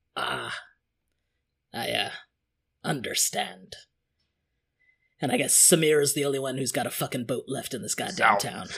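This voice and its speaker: A man puts on a raspy character voice at a medium pitch, speaking at a moderate pace with long, frequent pauses. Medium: actual play. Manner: warm, wry.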